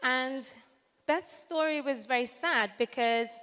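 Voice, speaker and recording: A woman is speaking. She has a British accent. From UK. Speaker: social entrepreneur. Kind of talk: conference talk.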